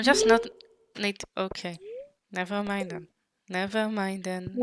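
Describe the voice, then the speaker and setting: A woman speaks at a fairly slow pace with an Israeli accent. Her medium-pitched voice stays monotone and flat. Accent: Hebrew. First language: Hebrew. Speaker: vtuber streamer. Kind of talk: gaming livestream chat. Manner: halting.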